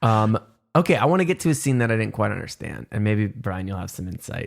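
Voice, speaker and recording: A plain, everyday voice at a fairly quick pace. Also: man. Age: 30s. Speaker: podcast co-host. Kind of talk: casual chat.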